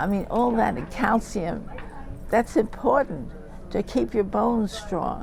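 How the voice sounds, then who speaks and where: Her medium-pitched voice carries lively intonation as this woman speaks at a fairly slow pace over noticeable background noise. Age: 80s+. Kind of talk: interview answer. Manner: hesitant, repetitive.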